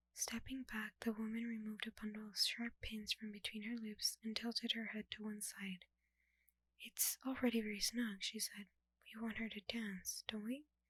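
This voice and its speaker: Soft-spoken and fairly high-pitched, a woman talks in a flat monotone at a moderate pace, recorded dry and close with no echo. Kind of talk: audiobook-style dramatic reading of a novel. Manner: soft-spoken, ASMR style.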